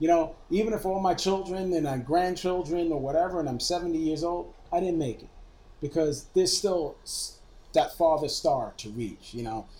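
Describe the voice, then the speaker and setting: This man has a dark, mellow tone and a high pitch. He speaks with an American accent at a moderate pace. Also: ordinary pitch variation. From Brooklyn, New York. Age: 40s. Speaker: media technology executive. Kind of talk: casual interview chat. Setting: drinking whiskey during recorded interview.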